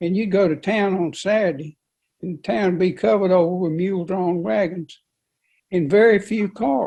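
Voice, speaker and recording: A man's high-pitched voice with a dark, mellow tone, in a North Carolina accent, at a moderate pace with ordinary pitch variation. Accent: Southern US (North Carolina). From US South, Rockingham County, North Carolina. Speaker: local resident interviewee. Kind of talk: interview, personal reminiscence. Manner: halting, repeats words.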